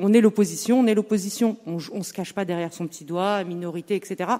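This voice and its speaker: Her tone is dark and mellow, at a medium pitch. The woman talks at a fairly quick pace with ordinary pitch variation. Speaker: opposition municipal councillor. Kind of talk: municipal council debate. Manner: halting.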